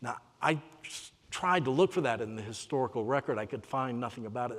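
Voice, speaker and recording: In a South Carolina accent, a man talks at a medium pitch. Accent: Southern US (South Carolina). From US South, Spartanburg, South Carolina. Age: 60s. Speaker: author and lecturer. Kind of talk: lecture.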